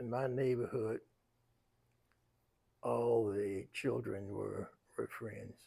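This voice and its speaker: A man with a North Carolina accent, medium in pitch, with ordinary pitch variation and a very slow pace. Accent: Southern US, North Carolina. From US South, Raleigh, North Carolina. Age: 90s. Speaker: elder interviewee. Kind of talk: life story interview.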